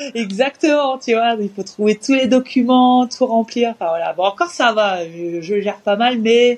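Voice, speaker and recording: A woman has an unremarkable speaking voice with a fairly high pitch. She keeps a moderate pace with ordinary pitch variation. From France, Orléans area. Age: 30s. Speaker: professional basketball player. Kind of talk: interview.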